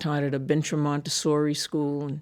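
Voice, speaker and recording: A woman with an American accent, a very deep, low pitch and a moderate pace. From Massachusetts. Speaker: immigration attorney. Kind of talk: interview conversation. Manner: conversational with fillers.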